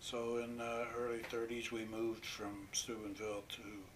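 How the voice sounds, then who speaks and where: A man's voice with an American accent, monotone, flat intonation, a moderate pace, noticeable background noise, and audible room echo. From western Pennsylvania. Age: 80s+. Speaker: war veteran. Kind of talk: oral history interview. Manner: halting.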